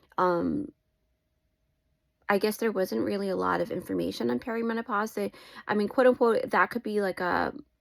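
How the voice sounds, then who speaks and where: At a moderate pace, the speech has long, frequent pauses on a very clean recording with a silent background. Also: woman. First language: not English. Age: 40s. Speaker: lifestyle vlogger. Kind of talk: personal vlog monologue. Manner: warm, heartfelt direct address.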